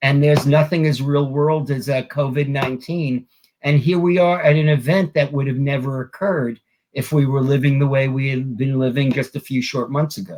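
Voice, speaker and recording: A somewhat breathy man with a fairly high pitch speaks at a moderate pace, his intonation fairly even. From New York. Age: 60s. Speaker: wrestling author. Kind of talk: interview.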